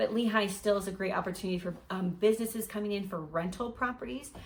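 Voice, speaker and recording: Speaking very fast, a woman sounds somewhat breathy and uses ordinary pitch variation. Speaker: realtor. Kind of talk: real estate advice video.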